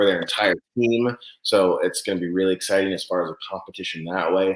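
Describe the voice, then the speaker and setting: A man with a fairly low pitch talks at a very fast pace. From California (Santa Cruz). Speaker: event organizer. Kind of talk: interview. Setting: live online show.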